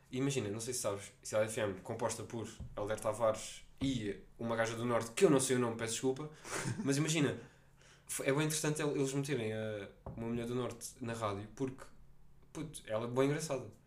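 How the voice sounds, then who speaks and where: A man speaks at a fairly quick pace, broken by long, frequent pauses. There is audible room echo. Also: medium pitch for a man, ordinary pitch variation. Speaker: podcast host. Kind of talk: casual chat. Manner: animated.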